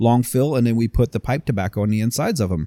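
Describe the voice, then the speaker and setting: A man with a dark, mellow tone talks at a very fast pace in a very clean recording with a silent background and a dry, close sound with no echo. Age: 40s. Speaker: cigar company founder. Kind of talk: casual chat.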